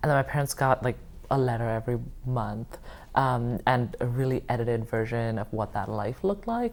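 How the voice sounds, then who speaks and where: This woman's voice is very deep and low, with vocal fry. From India. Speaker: oral history interviewee. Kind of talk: oral history interview. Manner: hesitant, many fillers.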